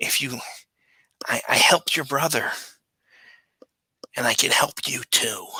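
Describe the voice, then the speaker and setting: A man's raspy, put-on character voice at a fairly high pitch, at a moderate pace with long, frequent pauses. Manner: wheedling.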